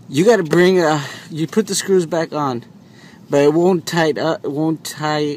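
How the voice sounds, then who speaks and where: A man at a fairly high pitch with ordinary variation, speaking at a fairly slow pace over noticeable background noise. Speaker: DIY car repair video maker. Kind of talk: tutorial. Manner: halting, repeats words; casual.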